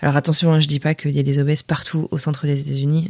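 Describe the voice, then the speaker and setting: A woman's somewhat breathy voice comes through with a dry, close sound and no echo. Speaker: French expat. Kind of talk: recorded voice message.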